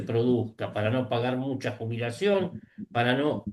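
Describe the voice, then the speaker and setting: This is a man's voice. It sits at a medium pitch. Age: 60s. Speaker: panelist. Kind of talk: casual chat.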